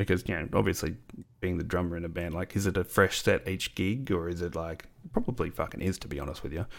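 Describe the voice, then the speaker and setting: With an Australian accent, a man speaks very fast in a very deep, low voice. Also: ordinary pitch variation. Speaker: podcast host. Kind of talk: casual chat. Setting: remote call.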